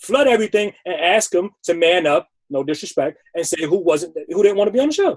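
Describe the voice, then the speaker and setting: With an American accent, a man talks at a fairly quick pace. His voice is high-pitched, with lively intonation. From New York, the Bronx. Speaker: sneaker personality. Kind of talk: interview. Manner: animated; fast.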